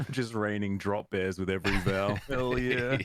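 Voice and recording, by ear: Noticeable background noise sits behind a man with an Australian accent. He speaks at a moderate pace with a fairly low pitch. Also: fairly even intonation. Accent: muted but noticeable Australian.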